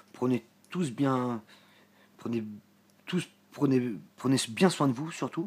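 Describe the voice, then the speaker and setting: A man speaks with lively intonation. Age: 40s. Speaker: spiritual vlogger. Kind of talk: casual vlog monologue. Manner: halting, many hesitations.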